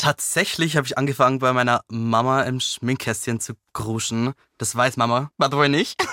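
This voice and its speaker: Bright and sharp in tone, a man speaks at a moderate pace in a medium pitch with fairly even intonation, in a very clean recording with a silent background and a dry, close sound with no echo. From Lower Bavaria, village. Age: 20s. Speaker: news channel employee. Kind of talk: interview.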